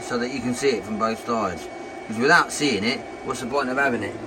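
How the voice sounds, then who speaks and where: Noticeable background noise is heard. A man speaks with an English accent. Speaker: YouTuber testing tools. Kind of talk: casual product demonstration. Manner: casual, hesitant with many ums.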